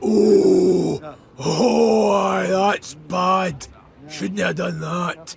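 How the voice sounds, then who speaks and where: This is a put-on character voice in a Scottish accent. It comes out raspy at a very slow pace. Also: man, fairly high pitch for a man. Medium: video game.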